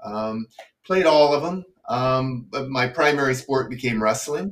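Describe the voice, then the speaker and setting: With a normal speaking voice and lively intonation, a man talks at medium pitch and a fairly slow pace. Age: 60s. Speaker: retired pharmacist. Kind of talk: casual interview.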